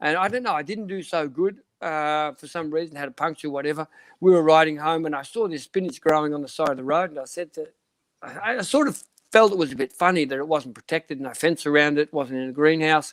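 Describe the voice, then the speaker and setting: A man with an Australian accent talks very fast at a fairly high pitch, his loudness swinging widely, in a dry, close sound with no echo. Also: ordinary pitch variation. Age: 60s. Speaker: cycling sports director. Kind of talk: interview.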